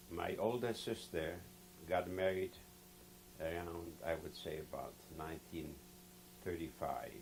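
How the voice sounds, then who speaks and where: Over noticeable background noise, a man with a very deep, low pitch speaks at a fairly slow pace with ordinary pitch variation and long, frequent pauses. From Poland, Lodz. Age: 70s. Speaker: Holocaust survivor. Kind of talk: testimony. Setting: recorded interview.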